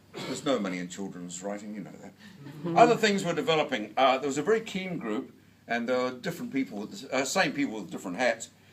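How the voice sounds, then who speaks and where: Speaking with a New Zealand accent at a very fast pace with hardly any pauses, a man makes very wide pitch swings and big swings in loudness amid audible room echo and noticeable background noise. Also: medium pitch for a man. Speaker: book reviewer and lecturer. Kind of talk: award lecture. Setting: stage with audience.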